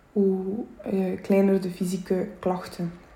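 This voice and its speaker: A woman with a Flemish accent speaks at a medium pitch. Noticeable background noise and audible room echo are present. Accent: Flemish Dutch. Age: 20s. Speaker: podcaster, self-employed butcher, stroke survivor. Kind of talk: personal testimony monologue. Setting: home kitchen at night.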